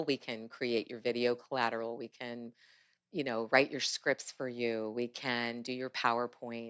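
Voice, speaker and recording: This woman's voice is very deep and low. She speaks at a moderate pace. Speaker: auctioneer, fundraiser. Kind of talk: interview answer. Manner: energetic, enthusiastic.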